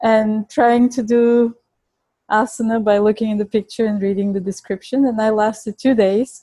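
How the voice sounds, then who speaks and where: With a Bulgarian accent, the voice has a dark, mellow tone and a monotone, flat intonation, moving at a moderate pace in a dry, close sound with no echo. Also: woman. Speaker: Ayurvedic nutrition educator and chef. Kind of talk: interview. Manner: halting.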